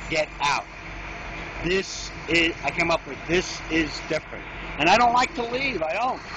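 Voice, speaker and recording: A man with a New York accent, high-pitched and lively in intonation, at a fairly slow pace with long, frequent pauses over noticeable background noise. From New York City, Queens. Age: 60s. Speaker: storm victim. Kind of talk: street interview.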